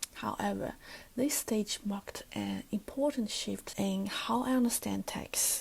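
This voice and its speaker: Someone with a Chinese accent talks at a fairly slow pace. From China. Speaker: student teacher. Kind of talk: recorded class presentation. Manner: formal.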